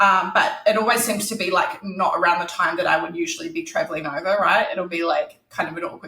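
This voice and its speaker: A woman with a New Zealand accent, medium in pitch, very fast in pace, with very wide pitch swings. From New Zealand, Christchurch. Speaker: author. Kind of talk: interview. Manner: casual, many fillers.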